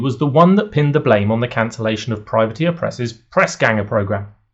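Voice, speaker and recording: A man with a British accent sounds somewhat breathy. His pitch swings very widely. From United Kingdom. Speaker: wargaming commentator, YouTuber. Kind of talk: scripted video essay.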